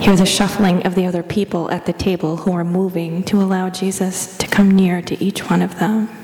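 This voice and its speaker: A woman with a medium-pitched voice and a gentle, soothing tone speaks in a monotone, flat way with hardly any pauses. Noticeable background noise is present. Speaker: church lay leader. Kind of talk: guided meditation, slow and hushed, with calm prayer. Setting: church. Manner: soft-spoken; slow, gentle, soothing pace with pauses.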